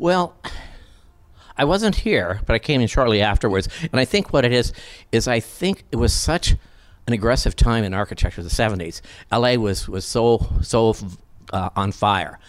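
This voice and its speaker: In a very clean recording with a silent background, a man with an American accent speaks at a moderate pace with lively intonation and a medium pitch. He leaves long, frequent pauses. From US Midwest (South Dakota). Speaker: interior design industry figure. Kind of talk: casual interview. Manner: animated, laughs often.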